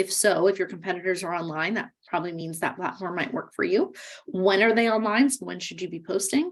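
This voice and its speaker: The voice belongs to a woman at medium pitch. She speaks at a fairly quick pace. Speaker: workshop instructor. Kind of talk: webinar lecture. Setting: virtual webinar. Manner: fast.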